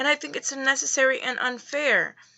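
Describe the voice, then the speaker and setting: Noticeable background noise sits behind a woman's voice. She speaks at a high pitch and a moderate pace. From Dominican Republic. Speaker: video blogger. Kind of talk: response video monologue. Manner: halting, with repeated words.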